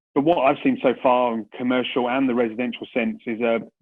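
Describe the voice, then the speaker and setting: The speaker has a British accent. The pace is moderate, with ordinary pitch variation. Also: man. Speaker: commercial property investment director. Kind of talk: business presentation. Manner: hesitant, many fillers and restarts.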